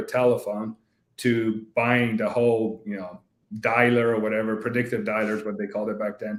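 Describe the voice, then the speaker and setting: A man speaks in a Polish accent at a medium pitch. His pace is fairly quick. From Poland, moved to US at 10. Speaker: business executive and investor. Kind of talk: interview. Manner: casual, with many fillers.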